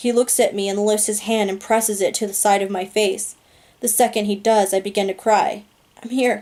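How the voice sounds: The clip has a natural reading voice. Its intonation is fairly even.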